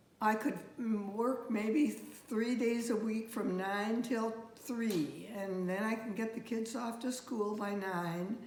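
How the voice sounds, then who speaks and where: With noticeable background noise and audible room echo, a woman talks very slowly with hardly any pauses, her fairly high pitch holding a fairly even intonation. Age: 90s. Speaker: retired speech pathologist. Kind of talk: casual interview about her career. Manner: halting, with false starts.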